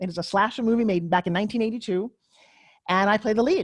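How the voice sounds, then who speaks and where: Animated and somewhat breathy, the voice races along at a very fast pace with ordinary pitch variation. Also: woman. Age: 60s. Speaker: tv pitchwoman and former actress. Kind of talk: interview. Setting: podcast.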